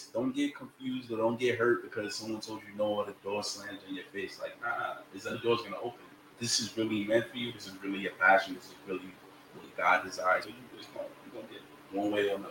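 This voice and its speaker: A man talks at a very fast pace, his loudness swinging in big jumps. There is noticeable background noise. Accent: American. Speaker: rapper and music artist. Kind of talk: casual interview chat.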